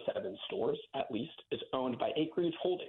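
A man does a raspy, put-on character voice at a fairly quick pace. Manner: speaking quickly.

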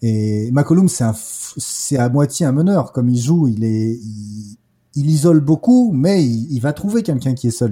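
Somewhat breathy and dark, mellow in tone, a man's medium-pitched voice carries lively intonation. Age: 40s. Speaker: basketball podcaster and streamer. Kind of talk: casual chat. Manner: halting, many hesitations.

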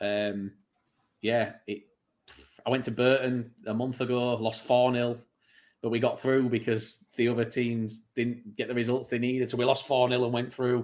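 This man talks in a flat, monotone way at a moderate pace. He has a medium pitch and a Manchester accent. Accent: Greater Manchester English. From Bury, Greater Manchester, England. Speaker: podcast host. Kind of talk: casual chat.

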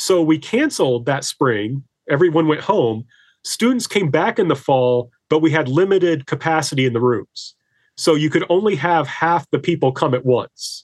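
A man with an unremarkable speaking voice, fairly high pitched, whose pitch moves in an ordinary way. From Indiana, US Midwest. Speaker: history professor. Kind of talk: casual interview chat.

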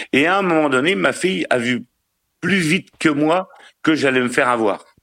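Speaking at a fairly slow pace, a man with a fairly high pitch uses lively intonation and a bright, sharp tone. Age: 50s. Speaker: caller to a relationship advice show. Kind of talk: casual chat.

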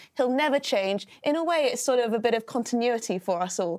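A woman's high voice rises and falls in lively intonation. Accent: British. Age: 20s. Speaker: political commentator. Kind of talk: casual chat.

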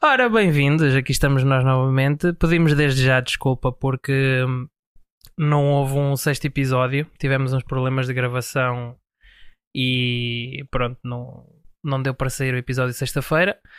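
A man talks at a moderate pace in a medium pitch, with fairly even intonation. It is a normal speaking voice. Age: 20s. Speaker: podcast host. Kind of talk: casual chat.

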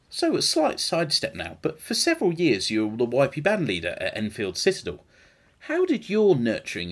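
Speaking rather quickly, a man talks with a British accent. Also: very clean recording, silent background. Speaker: podcast host. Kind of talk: casual chat.

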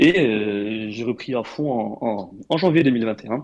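A man's normal speaking voice, medium in pitch with ordinary variation, against a quiet background. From Morocco. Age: 20s. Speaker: engineer and crypto investor. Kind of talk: interview.

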